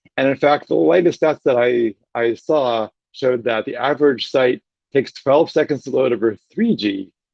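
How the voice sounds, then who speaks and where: A man's voice at medium pitch carries lively intonation. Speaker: web developer workshop instructor. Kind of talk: workshop lecture. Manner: fast; animated.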